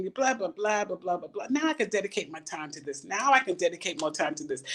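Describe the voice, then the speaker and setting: A woman speaks at a very fast pace in an animated tone. Her pitch swings very widely and her loudness swings a lot. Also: hardly any pauses. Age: 70s. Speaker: retired artist and minister. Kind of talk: casual interview chat.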